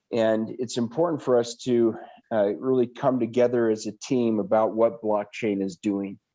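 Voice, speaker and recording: Against a quiet background, a man speaks at a moderate pace with a medium pitch. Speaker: blockchain company executive. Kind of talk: presentation.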